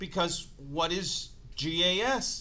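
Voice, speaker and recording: A man speaks in a raised, projected voice with a bright, sharp tone. Room echo is audible. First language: not English. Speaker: chemistry teacher. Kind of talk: lecture. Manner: playful, animated.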